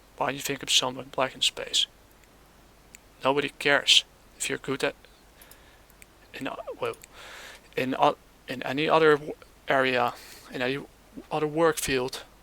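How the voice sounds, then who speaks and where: A man with a non-native accent speaks at a fairly high pitch, his intonation monotone and flat, with long, frequent pauses. The sound is dry and close, with no echo. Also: moderate pace. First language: not English. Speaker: gaming commentator. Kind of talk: casual commentary reacting to clips. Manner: hesitant, halting.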